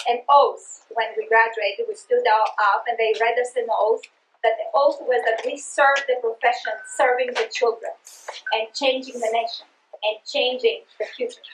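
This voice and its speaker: A woman speaks with a Greek accent. Her pace is moderate. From Greece (Sparta, Peloponnese). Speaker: education researcher and trainer. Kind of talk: presentation to teachers. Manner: halting, many fillers; passionate.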